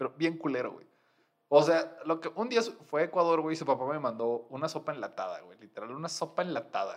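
Fairly quick in pace, a man talks at a fairly high pitch with ordinary pitch variation. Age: 30s. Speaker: podcaster. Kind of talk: casual chat.

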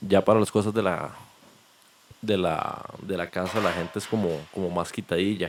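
Very deep and low, a man's voice stays flat and monotone. He leaves long, frequent pauses. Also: moderate pace. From Costa Rica, Limón (Caribbean coast). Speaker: chef. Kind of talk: casual chat.

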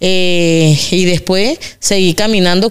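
This woman has a medium pitch. Her intonation stays fairly even. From Venezuela, Carabobo. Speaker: migrant woman, mother. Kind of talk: interview conversation.

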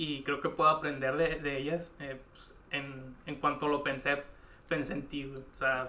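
A very slow pace with audible room echo. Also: man. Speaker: podcast host. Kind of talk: casual interview. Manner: halting.

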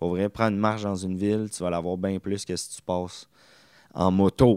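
The speaker has a Quebec accent, a moderate pace and fairly even intonation. The recording is very clean, with a silent background. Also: man. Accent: Québécois French. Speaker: podcast host. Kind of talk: casual monologue.

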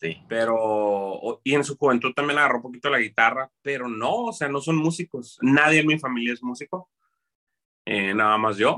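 Captured in a dry, close sound with no echo, a man at medium pitch has a bright, sharp tone and ordinary pitch variation. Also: moderate pace. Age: 30s. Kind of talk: casual interview.

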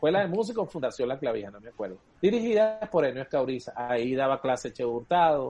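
A man talks very fast at a medium pitch with a dark, mellow tone, his pitch swinging very widely and his loudness rising and falling sharply. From eastern Venezuela (Guayana, El Tigre). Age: 40s. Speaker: cuatro player and musician. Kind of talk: casual chat.

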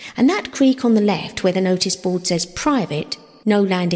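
Simple, plain reading aloud

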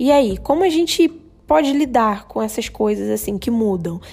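A woman speaks at a fairly slow pace with a Brazilian accent, her fairly high pitch moving in lively intonation over music in the background. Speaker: podcast host. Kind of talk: solo podcast monologue. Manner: casual, with many filler hesitations.

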